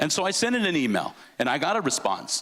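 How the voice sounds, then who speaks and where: Noticeable background noise sits behind a man who speaks with a Californian accent and lively intonation. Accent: Californian American English. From Southern California (Los Angeles area). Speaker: sports announcer. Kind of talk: speech to an audience.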